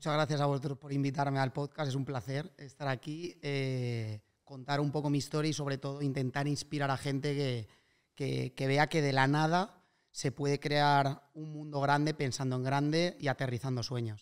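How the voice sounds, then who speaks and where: A plain, everyday voice from a man, fairly high in pitch, with fairly even intonation and a moderate pace over a quiet background. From Spain, Alicante; Spain. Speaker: real estate investor and startup co-founder; podcast guest. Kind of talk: casual interview chat. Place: home room. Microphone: studio mic.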